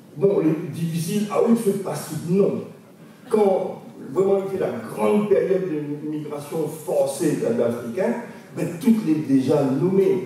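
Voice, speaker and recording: Strong room echo and light background noise accompany a man speaking at a very slow pace with a high pitch and lively intonation. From Réunion. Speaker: linguist; lecturer on creole language. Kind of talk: lecture. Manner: halting. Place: hall. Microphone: podium.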